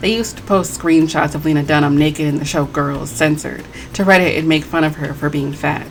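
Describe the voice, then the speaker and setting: Music plays in the background. A woman speaks in an animated tone at a very deep, low pitch. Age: 20s. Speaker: video essayist. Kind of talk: commentary video, reading comments aloud and responding.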